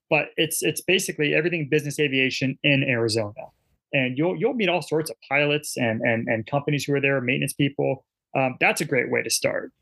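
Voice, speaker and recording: A man speaks very fast at a fairly high pitch. His voice has vocal fry and ordinary pitch variation. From Washington State, near Seattle. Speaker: corporate pilot. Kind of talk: casual interview. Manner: halting, many fillers and repeated words.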